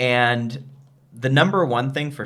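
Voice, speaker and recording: The speaker is a man with an American accent and medium pitch. Audible room echo surrounds his voice. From United States. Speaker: travel and business video host. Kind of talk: casual chat.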